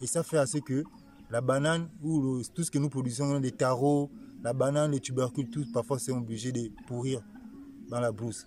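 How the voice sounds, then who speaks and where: A man with a Gabonese accent has a medium-pitched, somewhat breathy voice with a dark, mellow tone. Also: fairly even intonation, moderate pace. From Gabon, Nyanga province. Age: young. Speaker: farmer. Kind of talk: interview. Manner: halting.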